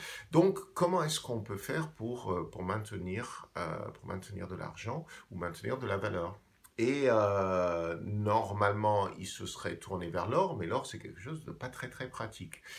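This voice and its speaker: With an English accent, a man talks at a fairly slow pace and fairly low pitch, somewhat breathy, with hardly any pauses, lively intonation and big swings in loudness. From England. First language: English (speaking French). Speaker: video blogger on finance. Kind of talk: explainer monologue. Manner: hesitant, many fillers.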